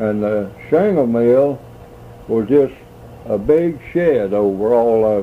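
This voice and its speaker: A man with an American accent at a medium pitch, with ordinary pitch variation, a very slow pace, long, frequent pauses and noticeable background noise. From US South. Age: 80s+. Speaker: elderly man recalling family history. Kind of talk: oral history interview. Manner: halting.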